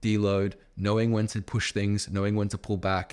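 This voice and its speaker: A man with a fairly low pitch speaks in a normal speaking voice at a moderate pace on a very clean recording with a silent background. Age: 20s. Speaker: podcast host and personal trainer. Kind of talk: casual chat. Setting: gym.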